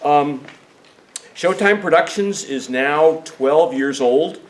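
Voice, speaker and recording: Over noticeable background noise, a man with a fairly high voice speaks at a fairly slow pace. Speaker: travel tour organizer and teacher. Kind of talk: informational meeting presentation. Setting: meeting room with small audience, recorded on camera.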